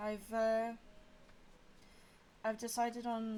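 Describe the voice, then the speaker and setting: A woman speaks quietly with a fairly high pitch. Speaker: streamer. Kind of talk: casual livestream chat while colouring. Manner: quiet, subdued; halting, many fillers.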